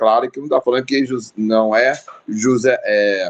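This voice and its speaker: A man speaks at a medium pitch with ordinary pitch variation. He has a strong Rio de Janeiro accent. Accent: strong carioca. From Rio de Janeiro, Brazil. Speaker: pastor and theology teacher. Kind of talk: casual chat. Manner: halting, many fillers.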